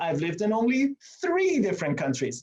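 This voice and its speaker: A man with an Iranian accent and very wide pitch swings. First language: Farsi. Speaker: meeting host, coach. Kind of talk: presentation to online meeting. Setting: video call from office. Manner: animated.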